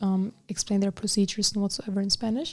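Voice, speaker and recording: Very fast and with fairly even intonation, a woman speaks at a medium pitch in a very clean recording with a silent background. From Germany, Bavaria (Allgäu, near Munich). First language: Arabic. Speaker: student association officer, college student. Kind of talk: interview. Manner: halting.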